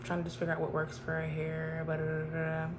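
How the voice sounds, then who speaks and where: Soft-spoken and very deep and low in pitch, a woman talks amid audible room echo and noticeable background noise. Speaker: vlogger. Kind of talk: casual chat. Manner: conversational, many fillers.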